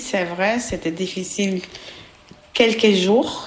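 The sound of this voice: A woman's medium-pitched voice, slow in pace, with ordinary pitch variation.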